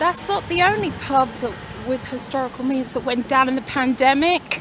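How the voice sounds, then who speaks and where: Amid noticeable background noise, a woman with a high pitch speaks at a moderate pace in a dry setting with no echo. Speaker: vlogger. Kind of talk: casual vlog chat. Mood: regretful, disappointed. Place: street. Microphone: phone near.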